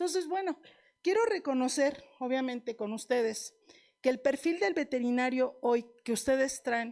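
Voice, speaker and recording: A woman with a Mexican accent speaks fairly slowly in a high pitch, her tone animated and intonation lively. The recording is very clean, with a silent background. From Mexico, La Piedad, Michoacán. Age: 60s. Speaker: veterinarian lecturer. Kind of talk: lecture. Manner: animated, conversational.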